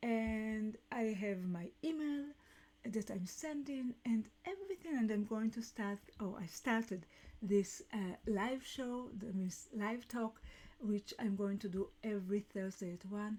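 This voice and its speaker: A woman with a non-native accent speaks fairly slowly, her fairly high voice somewhat breathy and dark, mellow in tone, with ordinary pitch variation. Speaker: business coach and podcast host. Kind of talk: live talk show monologue. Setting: live stream. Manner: halting.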